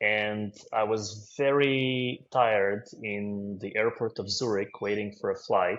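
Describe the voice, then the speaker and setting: This man speaks with a Russian accent at a fairly low pitch, with ordinary pitch variation. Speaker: finance consultant. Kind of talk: interview.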